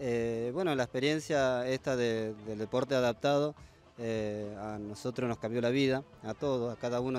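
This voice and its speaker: A man talks at a moderate pace with fairly even intonation, the sound dry with no echo over light background noise. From Buenos Aires, Argentina; Argentina. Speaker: amputee football player. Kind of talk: interview. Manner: halting, with frequent fillers. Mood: grateful, heartfelt. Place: open country. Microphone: handheld.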